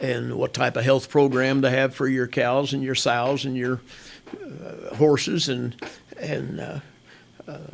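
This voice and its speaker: Amid noticeable background noise, a man with a Midwestern US accent speaks fairly slowly at medium pitch in monotone, flat intonation, with big swings in loudness and long, frequent pauses. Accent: rural Midwestern US. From Kansas. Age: 70s. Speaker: hunting outfitter and farmer. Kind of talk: interview. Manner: halting with repetitions.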